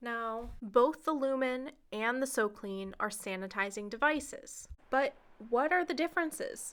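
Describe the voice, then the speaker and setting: At a fairly slow pace, a woman speaks with a high pitch and lively intonation on a very clean recording with a silent background. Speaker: medical equipment seller. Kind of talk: product tutorial.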